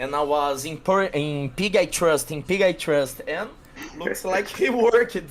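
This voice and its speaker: Over noticeable background noise, a man with a high pitch talks at a fairly slow pace with lively intonation. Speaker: tournament player. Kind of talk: casual chat. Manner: halting.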